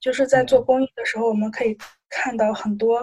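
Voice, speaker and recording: Moderately paced, a woman's fairly high voice runs in a monotone, flat intonation. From Shandong. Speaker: student volunteer. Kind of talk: casual interview.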